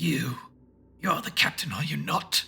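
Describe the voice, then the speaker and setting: A put-on character voice from a man, guttural, raspy and growling. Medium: read story. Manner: menacing, mocking.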